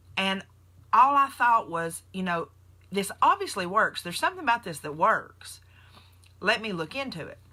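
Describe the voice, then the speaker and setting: At a moderate pace broken by long, frequent pauses, a woman speaks in an animated, bright, sharp tone at a fairly high pitch with very wide pitch swings. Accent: Southern US. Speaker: nurse and keto diet vlogger. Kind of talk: casual live stream talk. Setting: Facebook live video.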